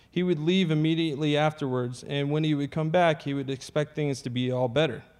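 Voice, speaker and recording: A man speaks at a moderate pace with a fairly high pitch. He has an unremarkable speaking voice. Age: 30s. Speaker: Navy veteran sharing recovery testimony. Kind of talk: testimony.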